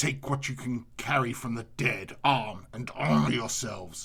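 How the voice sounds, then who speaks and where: A man puts on a growling character voice at medium pitch. He speaks at a moderate pace. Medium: solo performance. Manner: commanding.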